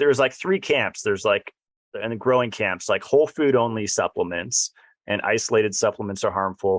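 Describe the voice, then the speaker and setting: Recorded dry and close with no echo, a man with an American accent speaks at a moderate pace, medium pitch and ordinary pitch variation. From California, San Diego. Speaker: podcast host. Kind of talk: interview.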